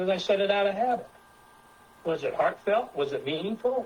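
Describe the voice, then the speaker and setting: A man's lively intonation at a moderate pace, over noticeable background noise. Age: 70s. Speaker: presenter with science degrees. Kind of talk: presentation with group discussion. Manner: halting, many repetitions.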